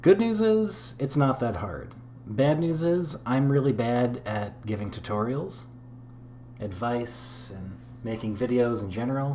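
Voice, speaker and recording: Against noticeable background noise and audible room echo, a man talks at a fairly slow pace, his medium pitch showing ordinary variation. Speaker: gaming tutorial creator. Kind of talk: tutorial. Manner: casual, unscripted.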